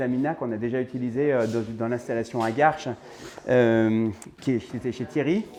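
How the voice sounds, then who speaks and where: Speaking rather quickly, a man comes through with clear background noise behind him. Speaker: home cinema installer presenting a project. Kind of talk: on-site video tutorial. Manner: fast.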